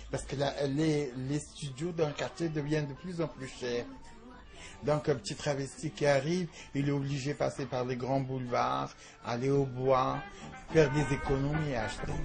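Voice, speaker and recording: A man with a fairly high pitch and fairly even intonation talks at a moderate pace while noticeable background noise goes on. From Algeria. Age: 60s. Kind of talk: interview testimony.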